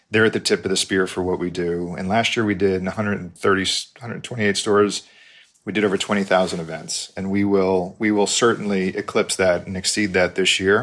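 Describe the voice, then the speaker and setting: A man with an American accent, monotone, flat intonation and a fairly quick pace. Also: fairly low pitch for a man. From New York. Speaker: company CEO. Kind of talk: interview.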